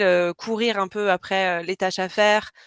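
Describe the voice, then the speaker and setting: A woman speaks at a medium pitch in a flat monotone, fairly slowly, with a dry, close sound, no echo and a quiet background. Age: 30s. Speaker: freelance communications professional. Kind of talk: testimony.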